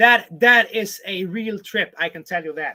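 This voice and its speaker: A man projects a raised voice with a bright, sharp tone. He goes at a fairly slow pace with lively intonation. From southern Sweden. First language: Swedish (also Spanish and English from childhood). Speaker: vlogger on a houseboat. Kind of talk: live stream chat reading viewer comments. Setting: home on houseboat, live stream with webcam. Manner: casual, hesitant with fillers.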